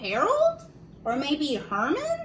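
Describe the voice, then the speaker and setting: Using a put-on character voice, a woman speaks at a high pitch. Clear background noise sits behind her. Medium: read story. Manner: earnest, polite.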